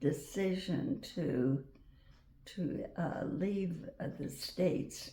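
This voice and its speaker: A woman with an American accent speaks at a very slow pace, in a dark, mellow, somewhat breathy tone. Her fairly low pitch makes very wide swings. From Wyoming, USA. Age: 80s+. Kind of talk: interview answer. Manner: slow, hesitant.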